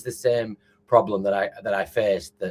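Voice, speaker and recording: Speaking at a fairly quick pace, a man with a northern English accent has a medium pitch. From northern England, Lancashire. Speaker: food tech entrepreneur. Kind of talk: interview. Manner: halting, many fillers.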